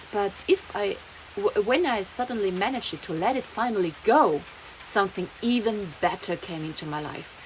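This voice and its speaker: Speaking with a German accent, a woman keeps a moderate pace and a medium pitch. Her intonation is lively, and there is noticeable background noise. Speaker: vlogger. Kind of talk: personal vlog monologue. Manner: halting, many fillers and restarts.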